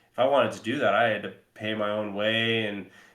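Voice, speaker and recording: There is audible room echo around a man's voice. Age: 30s. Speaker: paintball podcast co-host and player. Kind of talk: casual podcast chat.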